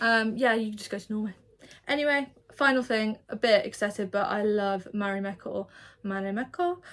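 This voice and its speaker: Someone talks at a fairly quick pace with an English accent and ordinary pitch variation. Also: woman. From England. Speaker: vlogger and self-employed artist. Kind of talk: casual vlog chat. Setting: indoors in her studio, seated in a chair. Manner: casual, rambling with false starts.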